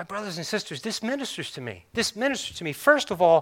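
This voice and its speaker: Raising and projecting his voice, a man with a high pitch and a bright, sharp tone makes very wide pitch swings on a very clean recording with a silent background. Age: 50s. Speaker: pastor. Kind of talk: sermon. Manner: animated.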